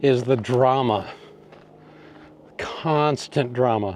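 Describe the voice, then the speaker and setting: Medium pitch from a man's voice. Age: 60s. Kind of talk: casual talk to camera. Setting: outdoors.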